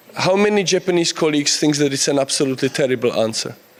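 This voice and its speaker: A man at a fairly quick pace, fairly high in pitch, with ordinary pitch variation and noticeable background noise. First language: Czech. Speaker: conference speaker. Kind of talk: conference talk. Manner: halting.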